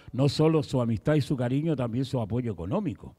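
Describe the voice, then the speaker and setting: Lively intonation rides on a dark, mellow tone over a quiet background. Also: man. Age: 70s. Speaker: pastor. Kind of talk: sermon. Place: church. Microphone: handheld.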